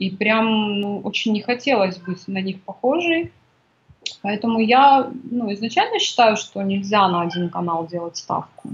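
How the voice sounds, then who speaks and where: With ordinary pitch variation, the woman talks in an unremarkable speaking voice. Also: fairly high pitch for a woman, fairly slow pace. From Kazakhstan. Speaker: women's coach and author. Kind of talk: interview.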